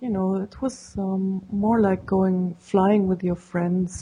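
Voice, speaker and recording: A woman with a German accent speaks very slowly at a medium pitch, her tone dark, mellow, and somewhat breathy. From Germany. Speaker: paraglider pilot. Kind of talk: interview.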